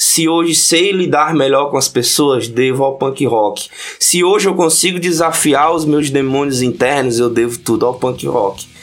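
Through noticeable background noise, a man with a fairly high pitch speaks at a fairly slow pace, with ordinary pitch variation and very even loudness. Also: hardly any pauses. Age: 30s. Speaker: podcast guest, punk fan and history researcher. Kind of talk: casual chat.

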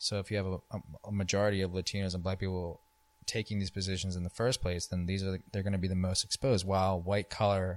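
Speaking very fast in a monotone, flat intonation, a man with an American accent and a fairly low pitch comes through a dry, close sound with no echo on a very clean recording with a silent background. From US Northeast, New Jersey. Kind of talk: casual conversation.

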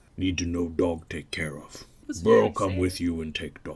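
A man puts on a character voice, pitched very deep and low, and speaks at a moderate pace. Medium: actual play. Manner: broken grammar, short clipped phrases; gruff, slow, blunt.

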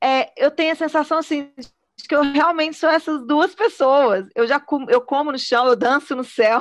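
A woman speaks at a moderate pace in a high pitch. Her pitch varies in an ordinary way. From Minas Gerais, Brazil (Belo Horizonte). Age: 40s. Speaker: choreographer and singer-songwriter. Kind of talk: casual chat.

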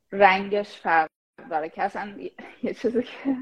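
A woman with medium pitch talks at a moderate pace in an ordinary speaking voice. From Iran, Shahrud (Semnan province). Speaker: AI product manager. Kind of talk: casual chat. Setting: live stream.

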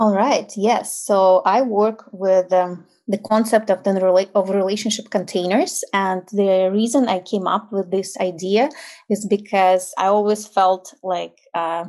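A woman with a Ukrainian accent, a dark, mellow tone, fairly even intonation and a fairly slow pace. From Ukraine. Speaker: intimacy and tantra coach. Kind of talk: interview.

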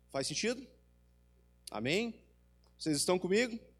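With music in the background, a man speaks at a high pitch with ordinary pitch variation. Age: 40s. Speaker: preacher. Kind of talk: sermon.

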